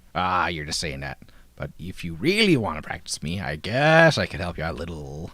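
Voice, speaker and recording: Putting on a character voice, a man uses a raspy, very deep, low pitch with ordinary pitch variation at a fairly quick pace. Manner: teasing, playful.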